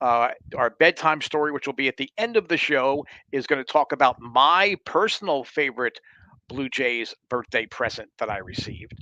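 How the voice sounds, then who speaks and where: The voice has a bright, sharp tone in a dry, close sound with no echo. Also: man, fairly high pitch for a man, moderate pace. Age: 60s. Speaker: sports podcast host. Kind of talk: live-streamed fan show monologue. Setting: live stream. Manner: casual, with frequent fillers and self-corrections.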